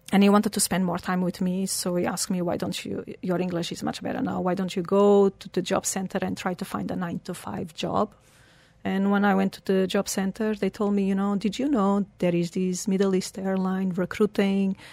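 A woman speaks at a moderate pace with a medium pitch. Her intonation is flat and monotone. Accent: Portuguese. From Portugal. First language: Portuguese. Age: 40s. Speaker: humanitarian and founder of a charity foundation, record-setting athlete. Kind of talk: casual interview chat. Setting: radio studio.

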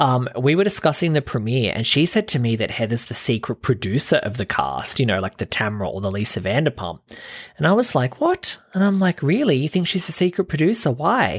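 Animated tone from a man with an Australian accent, fairly high-pitched with very wide pitch swings, in a dry, close sound with no echo. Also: fairly quick pace. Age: 30s. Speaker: podcast host. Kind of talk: solo commentary rant.

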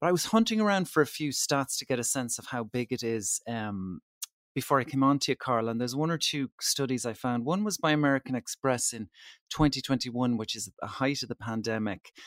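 A man at medium pitch with an Irish accent, fairly quick and with lively intonation, on a very clean recording with a silent background and a dry, close sound with no echo. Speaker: travel editor. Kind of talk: casual interview chat.

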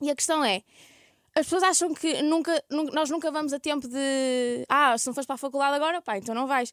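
A woman with a high pitch talks at a fairly quick pace. The very clean recording has a silent background and a dry, close sound with no echo. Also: ordinary pitch variation. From northern Portugal, Ermesinde near Porto. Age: 20s. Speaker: youtuber. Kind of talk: casual chat.

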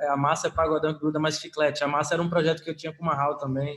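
This man's voice is fairly high in pitch and delivered in a monotone, flat intonation. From Paulo Afonso, northern Bahia, Brazil. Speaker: musician, band member. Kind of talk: casual interview. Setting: remote recording. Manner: halting, many fillers.

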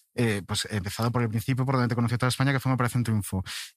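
A man talks at a very fast pace in a medium pitch. His pitch varies in an ordinary way. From Galicia, Spain (Pontevedra). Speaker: podcast host. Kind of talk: casual chat.

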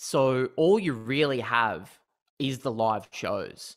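A man speaks with an Australian accent and a bright, sharp tone. The recording is very clean, with a silent background. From Newcastle, New South Wales, Australia. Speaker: comedian. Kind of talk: casual interview.

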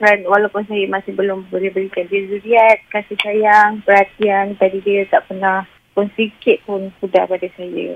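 A woman speaks at a moderate pace in a monotone, flat intonation over noticeable background noise. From Johor, Malaysia. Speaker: radio caller. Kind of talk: emotional confession on call-in show.

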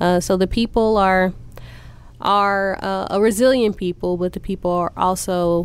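This woman has a plain, everyday voice at medium pitch, speaking at a moderate pace with fairly even intonation in an American accent on a very clean recording with a silent background. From Northeast Oklahoma City, Oklahoma. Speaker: city councilwoman, former radio personality. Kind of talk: interview.

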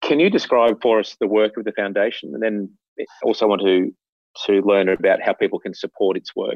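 Fairly quick speech from a man in an Australian accent. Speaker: podcast host. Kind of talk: interview conversation. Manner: formal.

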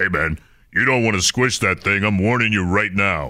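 In a booming put-on character voice, a man speaks at a moderate pace and fairly low pitch on a very clean recording with a silent background. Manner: warning.

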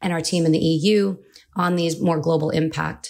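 In an American accent, the flat, monotone delivery sits on a very clean recording with a silent background. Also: woman. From California. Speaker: cybersecurity lawyer. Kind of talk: professional podcast discussion.

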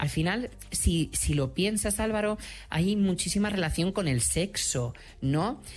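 A man speaks at a fairly slow pace in a high pitch, with lively intonation and very even loudness. Music plays in the background. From Madrid, Spain. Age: 30s. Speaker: HIV activist and author. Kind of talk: interview.

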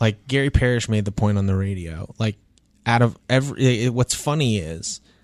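A man's normal speaking voice, medium in pitch, with ordinary pitch variation and a dry, close sound free of echo. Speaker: sports columnist and podcast host. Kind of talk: casual sports talk podcast. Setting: podcast studio. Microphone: real studio microphone.

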